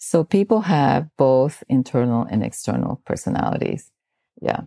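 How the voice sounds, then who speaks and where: With a Spanish accent, a woman speaks at a moderate pace in a very deep, low pitch and a dark, mellow tone. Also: dry, close sound with no echo. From South America. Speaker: feng shui and Chinese astrology consultant. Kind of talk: interview.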